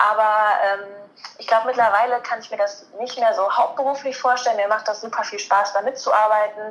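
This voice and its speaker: Noticeable background noise runs under a woman's fairly high voice. She talks at a moderate pace with fairly even intonation. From Germany, Cologne area. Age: 20s. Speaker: master's student and sports journalist. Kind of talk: interview.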